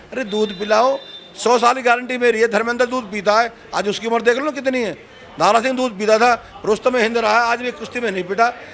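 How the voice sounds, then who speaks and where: A man's extremely high-pitched, animated voice at a moderate pace, over noticeable background noise. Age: 60s. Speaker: dairy farmer. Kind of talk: street interview.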